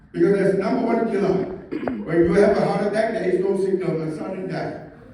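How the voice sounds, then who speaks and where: A man's high-pitched, animated voice amid noticeable background noise and audible room echo. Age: 60s. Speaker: product presenter. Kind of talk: sales pitch.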